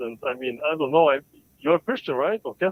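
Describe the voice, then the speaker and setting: Speech with an Albanian accent comes at a very fast pace with lively intonation. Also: man. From Balkans, Macedonia. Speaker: caller. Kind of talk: live call-in debate. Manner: halting.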